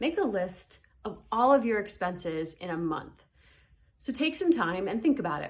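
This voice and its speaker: A plain, everyday voice at a moderate pace. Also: woman. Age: adult, parent. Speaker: high school teacher. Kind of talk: recorded lesson. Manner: casual, many fillers.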